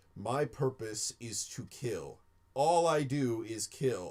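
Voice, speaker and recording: A man's put-on character voice at a medium pitch, with ordinary pitch variation, at a very slow pace. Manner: calm, quiet, menacing, not raised.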